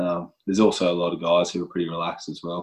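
With an Australian accent, a man talks at a fairly quick pace in a very deep, low pitch. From Western Australia. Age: 30s. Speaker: professional footballer. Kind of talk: interview. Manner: halting.

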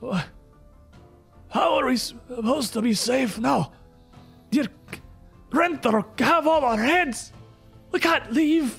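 A put-on character voice speaks at a very slow pace and a fairly high pitch, with long, frequent pauses. Faint music plays in the background. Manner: fearful, rattling out words.

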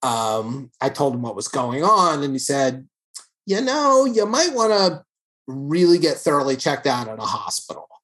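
A man with an American accent talks at a moderate pace in a plain, everyday voice. His pitch sits fairly high for a man. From New York City. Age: 50s. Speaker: artist and cancer survivor. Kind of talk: casual chat. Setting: video call.

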